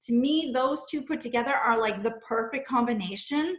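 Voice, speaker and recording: A woman with a fairly high pitch, ordinary pitch variation and an unremarkable speaking voice. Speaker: online business coach. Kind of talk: webinar teaching on a video call. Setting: video call.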